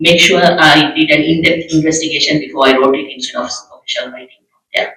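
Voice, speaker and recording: A man with a Tamil accent talks at a fairly high pitch with fairly even intonation. His loudness swings widely. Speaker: journalist. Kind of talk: panel discussion.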